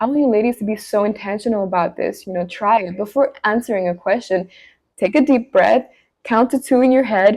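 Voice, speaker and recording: Over a quiet background, a woman with a fairly high pitch speaks at a fairly quick pace with ordinary pitch variation. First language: not English. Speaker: lifestyle and etiquette vlogger. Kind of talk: talking-head advice video.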